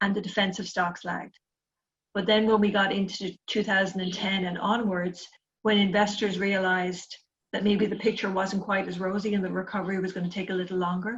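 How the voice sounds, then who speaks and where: At a fairly quick pace, a woman speaks in a somewhat breathy, medium-pitched voice with monotone, flat intonation. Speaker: investment analyst. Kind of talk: webinar presentation. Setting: online webinar.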